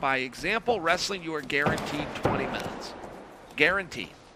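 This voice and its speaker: With noticeable background noise around him, a man speaks at a moderate pace. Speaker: grappling commentator. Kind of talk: live commentary.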